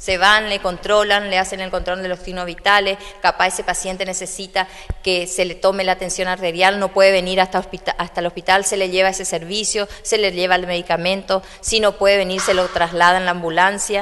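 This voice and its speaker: The voice moves at a fairly quick pace. Its intonation is monotone and flat. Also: woman. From Argentina, Corrientes (Santa Lucía); Corrientes, Argentina. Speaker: hospital doctor and administrator. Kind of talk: public speech and guided tour; interview answer. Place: hall. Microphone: handheld.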